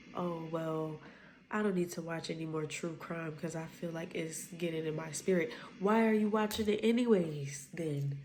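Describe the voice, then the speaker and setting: A woman speaks at a moderate pace in a fairly low voice, with ordinary pitch variation. Some room echo can be heard. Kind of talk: casual spoken devotional. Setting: at home at night.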